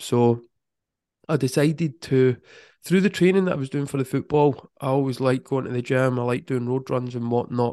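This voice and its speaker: A man speaks at a fairly quick pace in a Scottish accent, his pitch medium with ordinary variation. The background is quiet. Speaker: football mindset coach. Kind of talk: casual interview.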